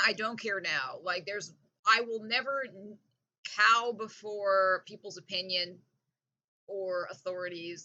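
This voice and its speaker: In a bright, sharp tone, a woman speaks at a medium pitch. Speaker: vlogger. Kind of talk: casual monologue rant. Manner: animated.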